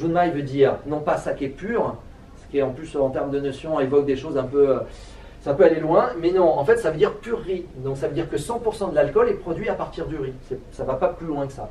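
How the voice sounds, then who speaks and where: The speech moves at a fairly quick pace with ordinary pitch variation and big swings in loudness. Audible room echo and noticeable background noise fill the recording. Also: man, fairly high pitch for a man. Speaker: sake expert giving a talk. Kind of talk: lecture. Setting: trade fair talk with audience. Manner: fast; halting, many fillers and repetitions.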